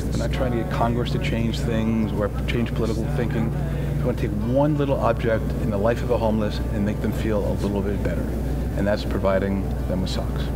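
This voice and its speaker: Music plays in the background as a man talks at a fairly quick pace with ordinary pitch variation. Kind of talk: interview answer. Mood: earnest, warm. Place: garden.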